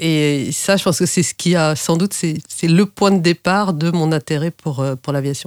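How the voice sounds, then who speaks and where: The speaker keeps a moderate pace with fairly even intonation. The recording is very clean, with a silent background. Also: woman, fairly low pitch for a woman. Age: 50s. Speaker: private pilot. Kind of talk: interview. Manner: hesitant with fillers.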